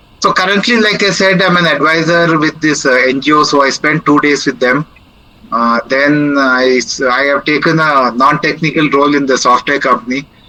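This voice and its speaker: A man's fairly high voice, an ordinary speaking voice, very even in loudness, at a moderate pace with ordinary pitch variation. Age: 60s. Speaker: senior living speaker. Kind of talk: Q&A after a talk.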